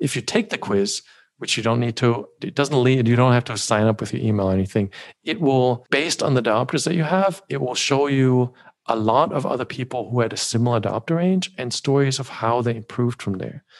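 Speaking at a fairly quick pace, a man at medium pitch uses an ordinary speaking voice with ordinary pitch variation. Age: 40s. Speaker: vision improvement educator. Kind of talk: interview.

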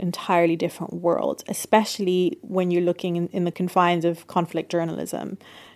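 A woman with a British accent, fairly low in pitch, at a fairly quick pace with monotone, flat intonation, in a very clean recording with a silent background. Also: hardly any pauses. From England, UK, of Lebanese parents. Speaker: journalist and author. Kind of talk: interview.

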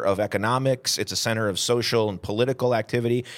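A man with an American accent speaks at a fairly quick pace. His medium-pitched voice has an energetic, animated tone. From upstate New York, Southern Tier (Vestal). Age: 40s. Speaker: historian. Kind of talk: casual interview chat.

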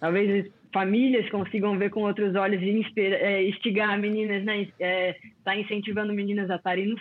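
A woman is talking. Her pitch is medium. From Brazil, Florianópolis (born in Rio). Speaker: former pro surfer. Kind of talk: casual chat.

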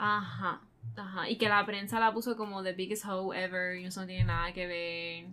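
A woman speaks at a moderate pace in a normal speaking voice, pitched in the medium range. Her intonation stays fairly even. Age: 20s. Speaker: true crime podcast co-host. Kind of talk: casual chat.

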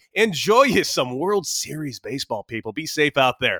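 The tone is bright and sharp, animated, with lively intonation at a moderate pace. The sound is dry and close, with no echo. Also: man, very clean recording, silent background. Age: 30s. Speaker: radio host and former baseball player. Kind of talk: casual chat.

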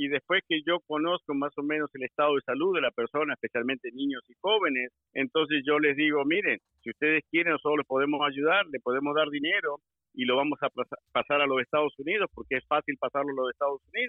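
A man talks very fast, his pitch fairly high and his pitch variation ordinary. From Argentina. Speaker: former police officer. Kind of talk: interview.

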